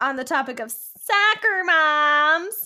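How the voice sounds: A woman puts on a character voice with a high pitch and lively intonation. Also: fairly slow pace.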